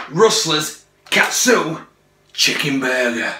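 A man talks with light noise behind him and audible echo in the room. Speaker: food reviewer vlogger. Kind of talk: casual vlog chat. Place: kitchen. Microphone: phone near.

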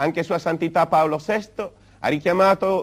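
A man, against a quiet background. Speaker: labor movement leader. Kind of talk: 1960s political speech. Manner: formal; earnest, oratorical. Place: studio.

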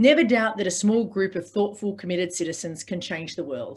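This woman's voice is somewhat breathy, with lively intonation. She moves at a moderate pace. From Sydney, Australia. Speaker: organiser, podcast host. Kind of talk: lecture. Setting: video call. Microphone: video call.

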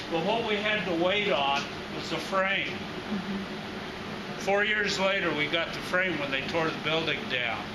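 Loud background noise competes with a man who talks at a moderate pace, his pitch varying in an ordinary way. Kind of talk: informal explanation in conversation. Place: workshop. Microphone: camera far.

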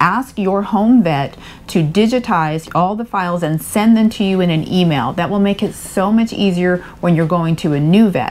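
The pitch shifts in an ordinary way. The woman talking keeps a moderate tempo. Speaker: RV travel vlogger. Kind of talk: casual vlog advice. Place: home room.

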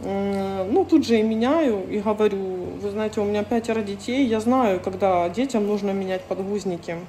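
Light noise sits in the background as a woman talks at a moderate pace with ordinary pitch variation. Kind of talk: casual vlog chat, storytelling. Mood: indignant, recounting a conflict. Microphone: phone near.

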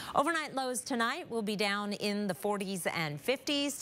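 This is a plain, everyday voice, a woman with an American accent. She talks at a moderate pace with lively intonation. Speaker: TV meteorologist. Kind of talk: weather forecast. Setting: studio.

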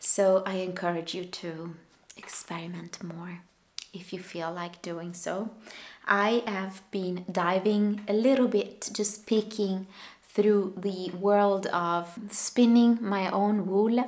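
Keeping a fairly even intonation, a woman speaks at a very slow pace. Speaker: knitting podcaster. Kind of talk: casual vlog chat. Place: home room. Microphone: camera far.

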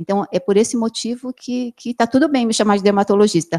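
Against a quiet background, a woman talks in a dark, mellow tone. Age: 40s. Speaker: plastic surgeon giving a health talk. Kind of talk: lecture. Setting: amphitheatre with live and online audience. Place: meeting room. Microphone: handheld.

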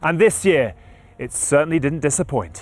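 A man at a fairly quick pace, the sound dry with no echo. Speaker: narrator and presenter. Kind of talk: scripted narration for a highlights show. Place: street. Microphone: lapel.

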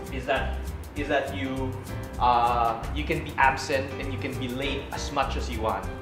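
A man speaks with clear music in the background. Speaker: cooking show host. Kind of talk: casual interview answer. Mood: playful, joking. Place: kitchen.

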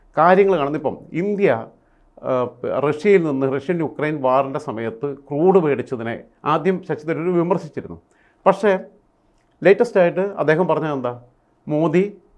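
Here is a plain, everyday voice with ordinary pitch variation. The background is quiet. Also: man, fairly high pitch for a man. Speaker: political commentator. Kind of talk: interview.

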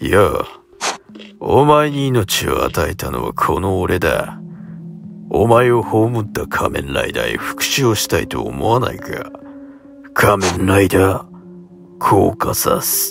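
In a put-on character voice, a man speaks fairly slowly with a raspy, fairly low pitch and big swings in loudness, over clear music in the background. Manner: commanding, scheming.

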